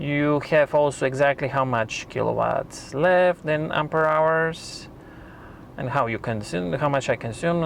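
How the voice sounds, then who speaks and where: A man with a non-native accent talks in a fairly high pitch, with ordinary pitch variation. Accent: foreign accent, self-noted. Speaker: YouTube car reviewer. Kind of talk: tutorial. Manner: halting.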